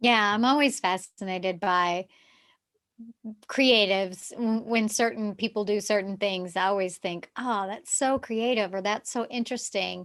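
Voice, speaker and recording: On a very clean recording with a silent background, a woman speaks at a moderate pace at a medium pitch with ordinary variation. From US South, Texarkana. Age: 50s. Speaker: yoga therapist. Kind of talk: casual chat.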